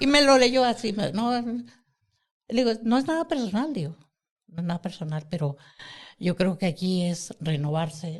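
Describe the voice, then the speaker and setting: A man with a high voice and lively intonation speaks at a moderate pace. He leaves long, frequent pauses. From Mexico City. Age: 60s. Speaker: podcast host. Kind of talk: casual chat.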